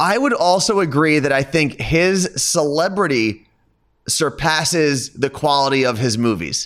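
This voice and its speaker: With an American accent and an unremarkable speaking voice, a man talks at a fairly slow pace with a fairly high pitch, lively intonation and very even loudness, on a very clean recording with a silent background. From New Jersey, outside New York City. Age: 30s. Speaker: radio host. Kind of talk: casual chat.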